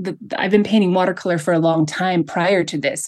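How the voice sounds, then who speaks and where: Over a quiet background, a woman with an American accent speaks at a fairly quick pace. Her medium pitch shows ordinary variation. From United States. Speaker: artist and minimalist. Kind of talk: interview conversation. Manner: hesitant with many fillers.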